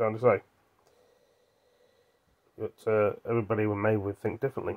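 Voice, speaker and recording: A man speaks in a relaxed tone at a fairly quick pace, with a fairly low pitch and monotone, flat intonation. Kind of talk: casual vlog chat. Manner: drowsy, relaxed voice from bed. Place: home room. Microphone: phone near.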